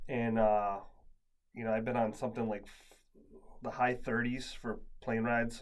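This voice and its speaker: With audible room echo, a man of medium pitch speaks at a moderate pace in a monotone, flat intonation, with big swings in loudness and long, frequent pauses. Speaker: podcast host. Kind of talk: casual chat. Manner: halting.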